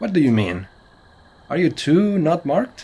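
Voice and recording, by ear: In a put-on character voice, a man speaks at a fairly slow pace with a fairly high pitch, big pitch swings, a dark, mellow tone and a slightly husky edge.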